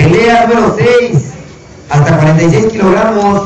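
Speech moves at a very slow pace, with audible room echo and noticeable background noise. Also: man. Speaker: event announcer. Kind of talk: announcement reading fight card. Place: open country.

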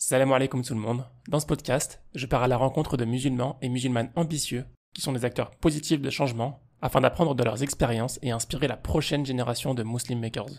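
At a fairly quick pace, a man talks in a plain, everyday voice with a medium pitch and fairly even intonation. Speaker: podcast host. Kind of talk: interview.

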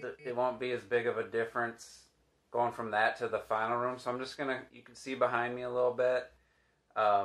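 A man talks in a monotone, with flat intonation. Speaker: DIY home renovation vlogger. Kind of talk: casual vlog chat. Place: home room. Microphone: phone near.

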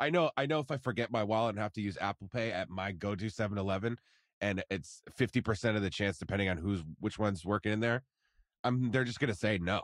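Over a quiet background, a man with an unremarkable speaking voice talks at a fairly quick pace in a fairly low pitch with ordinary pitch variation, the sound dry and close with no echo. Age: 20s. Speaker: podcast producer. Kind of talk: casual chat.

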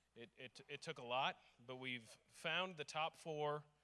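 A bright, sharp tone marks this man's speech. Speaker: conference organizer; conference host announcing awards. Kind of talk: award ceremony presentation. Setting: stage with audience. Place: hall. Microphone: handheld.

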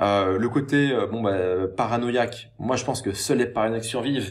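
Ordinary pitch variation over a quiet background. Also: man. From France, Paris. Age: 30s. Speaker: online entrepreneur and YouTuber; YouTuber. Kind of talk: monologue responding to a critical comment. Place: home room. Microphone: webcam.

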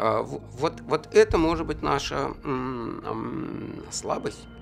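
A man's voice over faint background music. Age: 50s. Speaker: human rights activist. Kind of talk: interview answer. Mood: reflective, somber. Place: studio.

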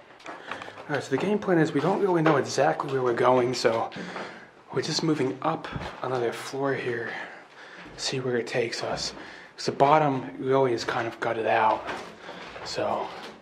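Over noticeable background noise, a man speaks at a moderate pace with ordinary pitch variation and long, frequent pauses. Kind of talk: casual exploration commentary. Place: factory. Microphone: phone near.

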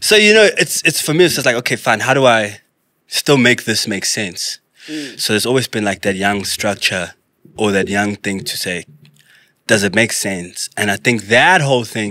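Against a quiet background, a man with a fairly low pitch speaks at a moderate pace in a bright, sharp tone, and the sound is dry with no echo. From South Africa. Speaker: actor and visual artist; podcast guest. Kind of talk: casual interview chat. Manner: laid-back, slangy. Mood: relaxed, animated storytelling. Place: studio. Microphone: studio mic.

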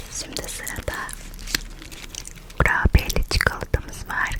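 A woman whispers at a very slow pace in a playful tone. Noticeable background noise can be heard. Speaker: ASMR creator. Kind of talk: ASMR chocolate tasting mukbang, casual talk to camera. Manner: soft, friendly, playful.

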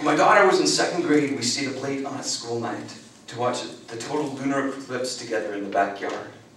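Audible room echo trails the voice of a man. Behind him sits light background noise. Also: ordinary pitch variation, fairly quick pace. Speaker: performance poet. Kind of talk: spoken word poetry performance. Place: meeting room.

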